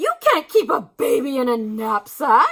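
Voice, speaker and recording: A put-on character voice sits high in pitch and swings very widely up and down. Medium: read story.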